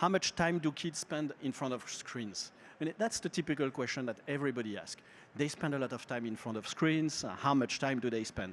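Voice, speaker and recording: Talking at a fairly quick pace, a man uses lively intonation and a fairly high pitch. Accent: French. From France. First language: French. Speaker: market researcher. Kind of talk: presentation. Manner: halting.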